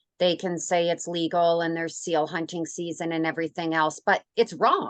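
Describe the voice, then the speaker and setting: At a fairly low pitch, a woman talks at a moderate pace in an ordinary speaking voice, the sound dry and close with no echo. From Canada. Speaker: radio host. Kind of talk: interview.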